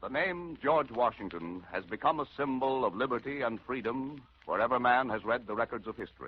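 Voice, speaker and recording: This man has an unremarkable speaking voice at a medium pitch, with ordinary pitch variation. He keeps a fairly quick pace with hardly any pauses. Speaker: radio actor. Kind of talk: dramatic radio narration. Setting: 1940s radio broadcast.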